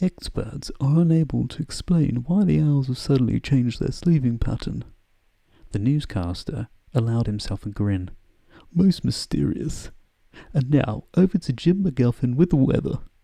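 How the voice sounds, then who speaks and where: A man's somewhat breathy voice has a dark, mellow tone and a medium pitch. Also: lively intonation, moderate pace. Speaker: ASMR creator. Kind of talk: bedtime story reading. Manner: whispered.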